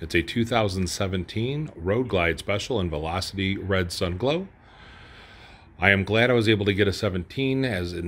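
This man talks with ordinary pitch variation in a very deep, low voice. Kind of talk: casual show-and-tell walkaround. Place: garage.

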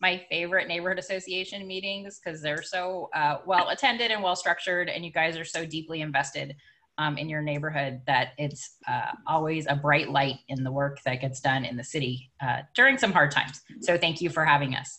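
A woman's very deep, low voice with a bright, sharp tone, ordinary pitch variation and a fairly quick pace. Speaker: guest. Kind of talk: meeting remarks. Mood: warm, friendly. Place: home room. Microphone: video call.

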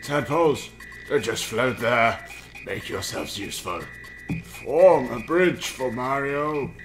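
A put-on character voice speaks at a fairly slow pace. Clear music plays in the background. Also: man, medium pitch for a man. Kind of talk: gamer reading dialogue aloud in a put-on voice. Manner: measured, solemn, courteous.

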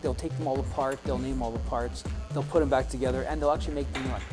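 A man speaks with clear music in the background. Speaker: shop instructor. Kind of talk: interview answer. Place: classroom.

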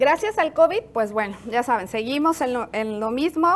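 Her pitch changes the usual amount. She talks at a moderate pace.

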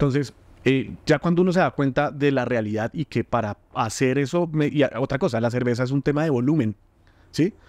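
Over a quiet background, a man talks at a moderate pace with ordinary pitch variation. He has an ordinary speaking voice, and the sound is dry and close with no echo. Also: fairly high pitch for a man. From Colombia, Bogotá. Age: 30s. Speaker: entrepreneur and food content creator. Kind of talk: interview conversation.

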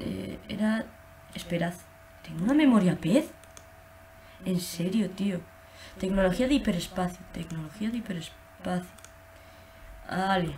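Light noise sits behind a woman speaking at a medium pitch. She uses ordinary pitch variation and takes long, frequent pauses. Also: fairly slow pace. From Spain. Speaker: gaming youtuber. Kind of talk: gameplay commentary. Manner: halting. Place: home room. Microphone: webcam.

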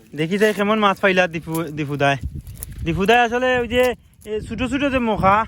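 A man speaks in a high voice with lively intonation. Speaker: vlogger. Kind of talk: outdoor vlog narration. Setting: outdoors.

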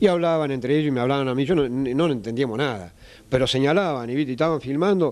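A man speaks at a very fast pace, his loudness very even throughout. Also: ordinary pitch variation. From Argentina. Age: 50s. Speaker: traditional metal craftsman. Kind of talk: interview. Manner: halting, many fillers. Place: workshop. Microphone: handheld.

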